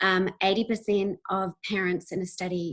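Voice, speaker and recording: The speaker is a woman with a New Zealand accent. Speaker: university researcher. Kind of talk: webinar presentation. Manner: hesitant, many fillers.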